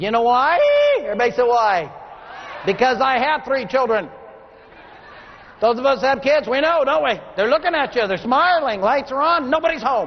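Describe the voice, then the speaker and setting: A man speaks at an extremely high pitch with lively intonation and long, frequent pauses. Background noise is noticeable. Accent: American. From Texas. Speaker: motivational speaker. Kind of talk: keynote speech. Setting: stage with audience. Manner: fast.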